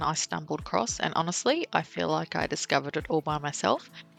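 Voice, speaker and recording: A woman with an Australian accent speaks at a fairly quick pace. Music plays in the background, and the sound is dry and close with no echo. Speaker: travel vlogger. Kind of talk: travel vlog narration. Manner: casual, chatty.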